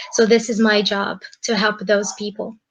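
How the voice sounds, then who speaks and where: Speaking at a fairly slow pace, a woman with a Brazilian accent has a fairly high pitch. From Brazil, São Paulo. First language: Portuguese. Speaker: English school coordinator. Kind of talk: self-introduction.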